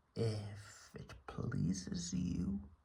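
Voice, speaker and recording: A put-on character voice carries ordinary pitch variation. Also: man, very deep, low pitch for a man. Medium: read story. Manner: terse, subdued.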